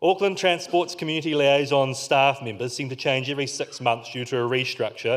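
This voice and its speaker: A man speaks very fast in a New Zealand accent. His pitch is medium, with ordinary variation. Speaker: community organiser. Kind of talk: conference keynote talk.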